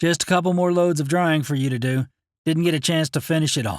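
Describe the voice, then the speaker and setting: A man puts on a character voice, pitched fairly high and delivered very fast. The recording is very clean with a silent background and a dry, close sound with no echo. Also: ordinary pitch variation. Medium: read story. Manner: offhand, casual.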